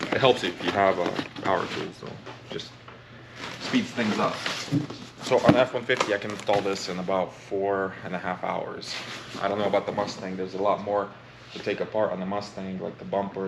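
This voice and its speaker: Talking at a fairly quick pace but with long, frequent pauses, a man with a fairly low pitch is heard over noticeable background noise. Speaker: car tuning youtuber. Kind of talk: casual tutorial. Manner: fast; animated.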